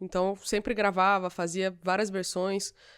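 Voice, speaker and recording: Here a woman speaks at medium pitch. The recording is very clean, with a silent background. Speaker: singer. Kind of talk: casual chat.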